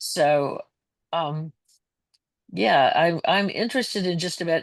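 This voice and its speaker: The woman talks at a fairly slow pace. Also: quiet background. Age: 70s. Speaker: artist and former teacher presenting her work. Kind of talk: Q&A at a member meeting.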